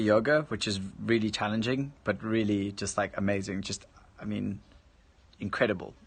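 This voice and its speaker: In an American accent, a man speaks at a moderate pace with a bright, sharp tone against a quiet background. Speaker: live streamer and musician. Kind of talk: casual live stream chat. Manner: halting, many false starts.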